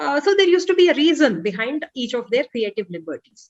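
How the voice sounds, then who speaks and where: The speaker talks with a Telugu accent at a moderate pace, using lively intonation. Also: woman. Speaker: author. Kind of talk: interview. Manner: hesitant, many fillers.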